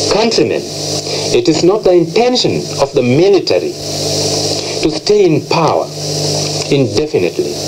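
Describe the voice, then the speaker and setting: Over noticeable background noise, a man talks at a moderate pace with long, frequent pauses. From Kenya. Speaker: air force rebel soldier. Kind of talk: radio broadcast announcement. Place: studio. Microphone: old recording.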